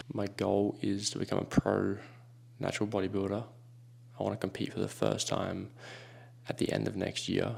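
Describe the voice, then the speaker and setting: Quiet and fairly low in pitch, a man speaks at a moderate pace with vocal fry and fairly even intonation. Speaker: fitness vlogger. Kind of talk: vlog narration. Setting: indoors at home, early morning.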